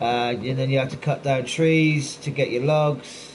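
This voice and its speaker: Someone speaks at a moderate pace in a West Country accent. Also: man. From Cornwall, southwest England. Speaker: gaming streamer. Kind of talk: casual live-stream chat while gaming. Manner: animated.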